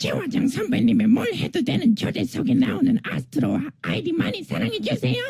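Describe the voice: Putting on a character voice, a man talks at a fairly quick pace with an extremely high pitch.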